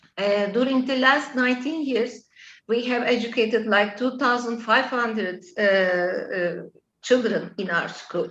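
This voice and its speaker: A woman speaks fairly slowly in a fairly high voice. Her pitch varies in an ordinary way. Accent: Turkish. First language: Turkish. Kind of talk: interview. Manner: halting, many fillers.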